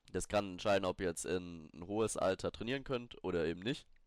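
A fairly low-pitched man talks with ordinary pitch variation. The background is silent, and the recording is very clean. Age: 20s. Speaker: fitness podcaster. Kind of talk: solo podcast tutorial. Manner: casual, with many fillers and restarts.

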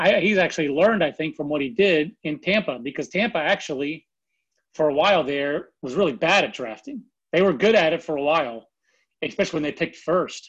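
A man with an American accent talks at a fairly quick pace and a fairly high pitch. His pitch variation is ordinary, and the background is quiet. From North Carolina. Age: 40s. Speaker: baseball scout. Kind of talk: casual interview. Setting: phone call.

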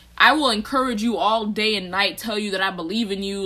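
Speaking very fast with a bright, sharp tone, a woman with an American accent keeps a medium pitch and fairly even intonation. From Texas. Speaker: podcast co-host, college student. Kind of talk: casual chat.

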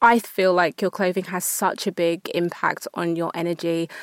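Over a very clean recording with a silent background, a woman in a plain, everyday voice speaks at a moderate pace with a fairly low pitch and fairly even intonation. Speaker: fashion entrepreneur. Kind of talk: interview. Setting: studio.

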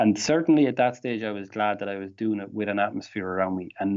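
Fairly low in pitch with ordinary variation, a man with an Irish accent talks at a very fast pace. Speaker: Packers fan. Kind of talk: casual chat.

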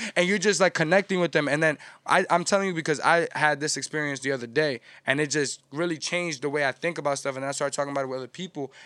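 Talking at a very fast pace in a New York accent, a man has a fairly high pitch and a bright, sharp tone. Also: ordinary pitch variation, dry, close sound with no echo. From New York City, Washington Heights. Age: 20s. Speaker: music promoter and media network founder. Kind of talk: casual chat. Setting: studio.

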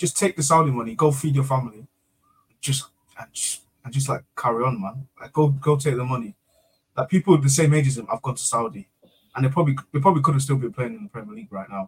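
A man talks very fast in a somewhat breathy voice with lively intonation. His loudness swings widely. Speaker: co-host or chat participant. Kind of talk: casual banter. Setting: live stream.

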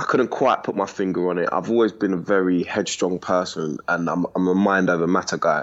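With a London accent, a man speaks at a fairly low pitch. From East London, England. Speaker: former prisoner abroad. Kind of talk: interview.

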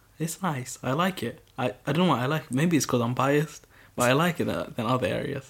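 A man speaks at a very fast pace with a fairly high pitch, a somewhat breathy sound and ordinary pitch variation. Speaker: video creator guest. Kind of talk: casual chat. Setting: at home, recording. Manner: unenthusiastic, low-key.

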